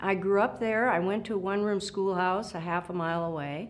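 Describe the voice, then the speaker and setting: A woman's medium-pitched voice at a moderate pace, with fairly even intonation and audible room echo. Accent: Upper Midwest. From South Dakota, Gregory County farm. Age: 70s. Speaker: retired supreme court justice. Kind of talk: oral history interview. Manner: halting, many fillers.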